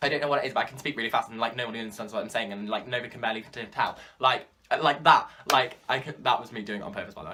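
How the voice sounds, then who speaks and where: Speaking very fast with a British accent, a man holds a medium pitch with ordinary variation while his loudness swings widely. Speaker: YouTuber. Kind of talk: casual vlog monologue.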